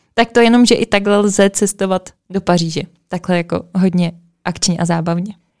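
In a dry, close recording with no echo, a woman with an ordinary speaking voice and medium pitch talks at a moderate pace with fairly even intonation. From Czech Republic, Plzeň. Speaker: podcast host. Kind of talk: casual chat.

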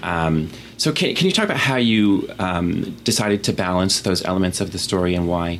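Amid noticeable background noise, a man speaks with a very deep, low pitch and ordinary pitch variation. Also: moderate pace, very even loudness. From Vermont. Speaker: podcast host. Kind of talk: interview. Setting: office.

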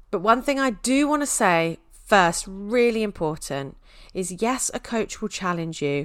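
On a very clean recording with a silent background, a woman at a medium pitch talks fairly slowly, her pitch swinging very widely. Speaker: podcast host and mindset coach. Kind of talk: casual solo monologue. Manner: warm and animated.

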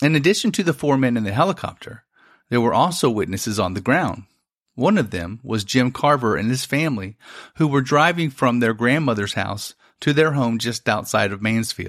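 A man with a plain, everyday voice, medium pitch, lively intonation and moderate pace, in a very clean recording with a silent background. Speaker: podcast host. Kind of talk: true-crime style narration of a UFO incident. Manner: measured, storytelling, suspenseful.

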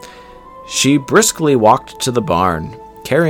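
Someone reads in a natural voice. The pitch moves in a lively way.

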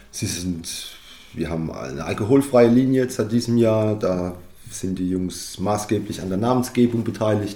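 With audible room echo around him, a man talks at a moderate pace in a fairly low pitch with ordinary pitch variation. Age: 30s. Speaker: winemaker. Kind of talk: interview.

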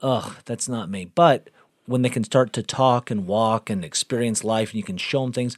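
A man's unremarkable speaking voice at medium pitch, with ordinary pitch variation and a moderate pace, in a very clean recording with a silent background and a dry, close sound with no echo. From Texas (Galveston). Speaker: podcast guest, host's husband. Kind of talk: casual chat.

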